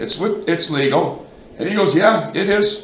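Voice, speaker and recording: A loud, animated voice with an American accent at a moderate pace, audible room echo and noticeable background noise. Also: man. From Minnesota, central (Royalton area). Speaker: resident speaking at town board meeting. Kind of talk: heated debate.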